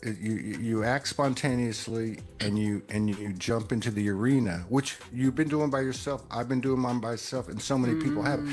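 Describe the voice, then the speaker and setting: Amid noticeable background noise, a man speaks at a moderate pace with hardly any pauses, a medium pitch and ordinary pitch variation. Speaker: spiritual podcaster. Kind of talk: casual chat. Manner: halting, many fillers and repeats.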